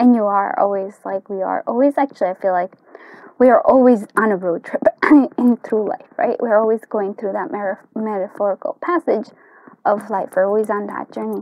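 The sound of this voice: Heard in a dry, close recording with no echo, a woman talks at a moderate pace and medium pitch with fairly even intonation.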